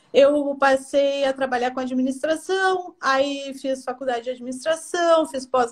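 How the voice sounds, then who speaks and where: A high-pitched woman's voice at a fairly slow pace, with hardly any pauses and fairly even intonation. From southern Brazil, Porto Alegre. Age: 40s. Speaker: professional organizer. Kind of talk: interview on live stream. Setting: Instagram live video.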